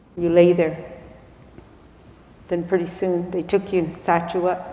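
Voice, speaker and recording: A woman with a fairly low pitch speaks at a fairly slow pace in monotone, flat intonation. Room echo is audible. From Arizona, Hopi-Tewa and Havasupai; Arizona. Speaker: spiritual elder; speaker. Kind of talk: public talk. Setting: stage with audience. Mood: calm, reflective, slow. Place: church. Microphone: lapel.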